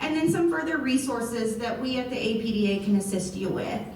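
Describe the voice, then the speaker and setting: With audible room echo, a woman speaks at a moderate pace with lively intonation. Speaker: health nonprofit program manager giving a talk. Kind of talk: presentation to residents with Q&A.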